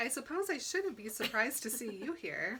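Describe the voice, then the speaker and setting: A woman uses a put-on character voice at a high pitch. She talks at a fairly quick pace. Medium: solo performance. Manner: clipped, controlled.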